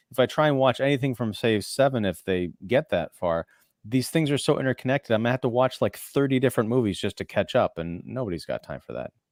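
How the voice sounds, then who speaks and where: A man at a very fast pace, medium in pitch. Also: ordinary pitch variation. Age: 40s. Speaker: film critic and podcaster. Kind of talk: casual chat.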